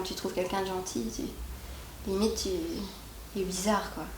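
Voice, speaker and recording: Over noticeable background noise and audible room echo, a woman is speaking. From Quebec. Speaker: YouTuber. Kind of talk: interview. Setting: at her home. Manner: hesitant, many fillers and repetitions.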